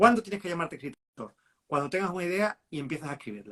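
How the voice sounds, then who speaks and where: Lively intonation marks this man's high voice. He talks at a very fast pace. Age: 50s. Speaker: writer. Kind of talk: live interview. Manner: halting.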